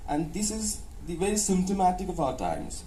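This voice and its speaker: A man at a fairly quick pace, with ordinary pitch variation and audible room echo. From India, North Maharashtra village near Dhule. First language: Ahirani. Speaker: professor and author. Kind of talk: interview. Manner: hesitant, frequent uh fillers and restarts; code-switching English and Hindi.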